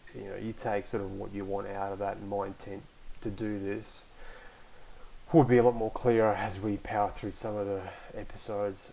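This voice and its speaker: A man with an Australian accent, fairly low in pitch, at a fairly quick pace. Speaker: podcast host, online community moderator. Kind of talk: casual solo podcast talk. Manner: hesitant, many fillers.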